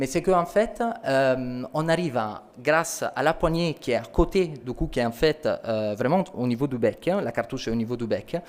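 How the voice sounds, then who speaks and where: A man speaks with an Italian accent at a moderate pace. His intonation is lively. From Italy. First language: Italian (speaking French). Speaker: company sales representative. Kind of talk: product presentation.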